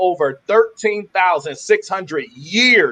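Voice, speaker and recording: A raised, projected voice in an animated tone at a moderate pace with ordinary pitch variation. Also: man. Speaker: webinar host. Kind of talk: sales pitch. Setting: live webinar. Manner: stuttering.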